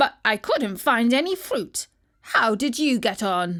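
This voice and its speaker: Fairly high-pitched put-on character voice from a woman, delivered fairly slowly. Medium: read story. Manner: teasing.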